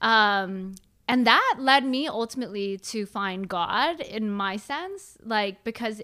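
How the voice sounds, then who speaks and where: A woman's fairly high, bright, sharp voice with ordinary pitch variation, on a very clean recording with a silent background. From San Francisco Bay Area, US. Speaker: mindset coach, former accountant. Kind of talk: casual interview chat.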